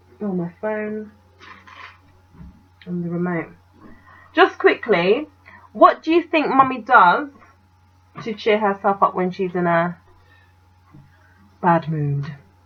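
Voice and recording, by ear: A woman speaks slowly, with long, frequent pauses. Her intonation is lively, and her voice has a slightly husky edge. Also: medium pitch for a woman.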